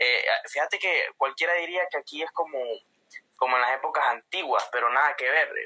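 A man talks at a moderate pace. He has a Honduran accent. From Honduras, Comayagua. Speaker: marine and singer. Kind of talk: casual interview. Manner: halting.

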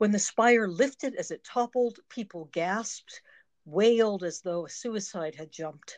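Against a quiet background, a woman with an unremarkable speaking voice and fairly high pitch speaks at a fairly slow pace, with ordinary pitch variation and big swings in loudness. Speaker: poet and retired psychotherapist. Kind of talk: interview, poem read aloud.

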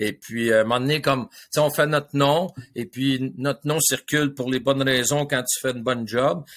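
A man talks at a moderate pace in a Quebec accent. His pitch is medium, with ordinary variation. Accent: Québécois French. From Quebec, South Shore of Montreal. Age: 60s. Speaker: hockey coach and coaching mentor. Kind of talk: casual interview.

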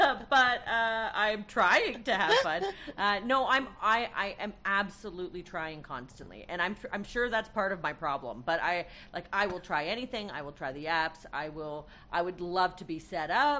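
A woman with a bright, sharp tone and medium pitch talks at a moderate pace with lively intonation. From Canada. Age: 40s. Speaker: comedian. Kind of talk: casual chat.

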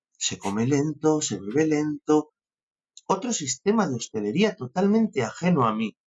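A man talks in a fairly high, somewhat breathy voice. His pitch swings very widely. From Spain, Castilla y León (Benavente). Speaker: sommelier. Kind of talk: interview.

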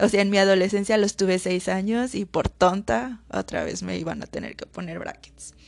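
At a moderate pace and hardly pausing, a woman speaks at a medium pitch with ordinary pitch variation and big swings in loudness. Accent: central Mexican. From Mexico, Aguascalientes. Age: 20s. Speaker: podcaster. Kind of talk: casual monologue. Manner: chatty, informal.

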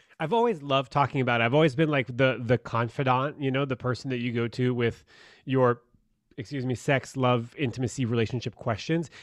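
Here, a man uses an ordinary speaking voice with a medium pitch and fairly even intonation. He moves at a fairly quick pace against a quiet background. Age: 30s. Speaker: love coach. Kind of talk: casual chat.

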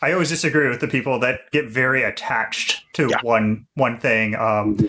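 Male speech at a moderate pace in a plain, everyday voice, medium in pitch with ordinary pitch variation. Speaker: hardware expert co-host. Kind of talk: casual interview chat. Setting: video call.

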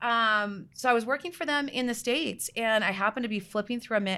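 With a bright, sharp tone and ordinary pitch variation, the speaker moves at a fairly quick pace on a very clean recording with a silent background. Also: woman. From Canada, outside Toronto. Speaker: tech company CEO and co-founder. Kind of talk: interview.

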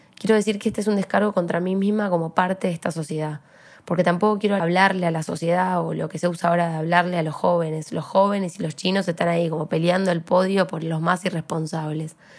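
A woman talks at a very fast pace with a fairly low pitch and fairly even intonation. The recording is very clean, with a silent background. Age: young. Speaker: podcast host. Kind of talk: personal monologue; casual interview chat. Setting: studio.

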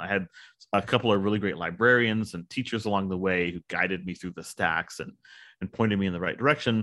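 In a South Texas accent, a man talks at a very fast pace with a fairly low pitch and fairly even intonation. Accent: South Texas Mexican-American English. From South Texas, Rio Grande Valley. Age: 50s. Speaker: author and professor. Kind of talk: interview. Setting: recorded interview, small mic setup.

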